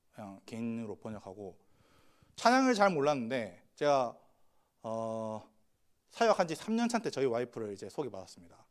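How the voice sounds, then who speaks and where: Over a silent background in a very clean recording, a man of medium pitch speaks at a moderate pace with lively intonation, big swings in loudness and long, frequent pauses. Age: 30s. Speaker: pastor. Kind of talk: sermon.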